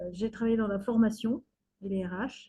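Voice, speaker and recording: A woman speaks at a moderate pace in a somewhat breathy, dark, mellow tone. Her intonation is monotone and flat. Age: 60s. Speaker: retired community activist. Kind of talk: interview testimony. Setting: video call. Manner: hesitant, many fillers.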